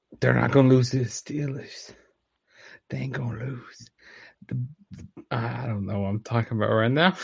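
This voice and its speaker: A put-on character voice, raspy, with ordinary pitch variation. It moves at a moderate pace with long, frequent pauses. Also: man, medium pitch for a man. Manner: breathing hard.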